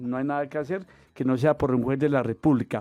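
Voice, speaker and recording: A man speaks at a fairly quick pace in a fairly high pitch, his tone dark and mellow and his intonation fairly even. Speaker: pension lawyer answering radio call-ins. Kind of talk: radio call-in advice.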